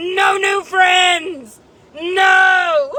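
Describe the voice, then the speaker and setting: A put-on character voice, shouting and growling at an extremely high pitch. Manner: menacing, mock-threatening.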